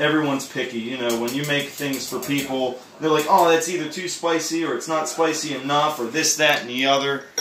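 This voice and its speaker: A man talks at a fairly quick pace and fairly high pitch, with hardly any pauses. Audible room echo and noticeable background noise fill the recording. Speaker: cooking video creator and streamer. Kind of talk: casual cooking tutorial. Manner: loud; casual, animated.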